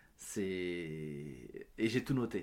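The voice belongs to a man. There is ordinary variation in his pitch. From France, Paris suburbs (Yvelines), Portuguese parents. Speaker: actor and comedian. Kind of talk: interview. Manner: hesitant with many fillers.

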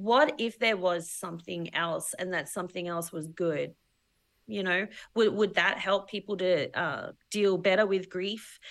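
A woman with an Australian accent at medium pitch, fairly slow pace and a quiet background. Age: 40s. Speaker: filmmaker. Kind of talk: casual chat.

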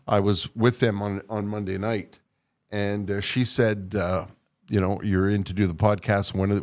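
With a Canadian accent and fairly even intonation, the speaker uses an ordinary speaking voice, captured in a very clean recording against a silent background. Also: man. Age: 60s. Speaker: podcast host, retired radio broadcaster. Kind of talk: casual chat. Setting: studio.

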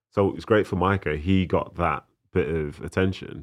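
A man's voice with vocal fry and ordinary pitch variation against a quiet background. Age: 30s. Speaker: former footballer. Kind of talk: casual chat.

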